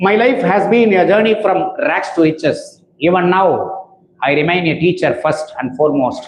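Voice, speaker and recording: In a Tamil accent, a man talks with ordinary pitch variation. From India, Tamil Nadu. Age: 60s. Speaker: school principal. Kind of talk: reading aloud. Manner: formal.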